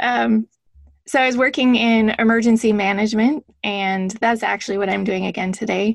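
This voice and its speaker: A woman with an American accent speaks at a moderate pace in a fairly high pitch, her intonation fairly even, in an ordinary speaking voice. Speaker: former intelligence officer and author. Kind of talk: interview about her book.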